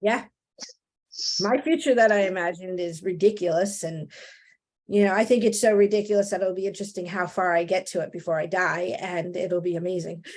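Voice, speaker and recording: With a New Jersey accent, a woman talks at a fairly quick pace and medium pitch over a very clean recording with a silent background. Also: ordinary pitch variation. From New Jersey, Italian-American. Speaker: real estate trainer, podcast co-host. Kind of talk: casual chat.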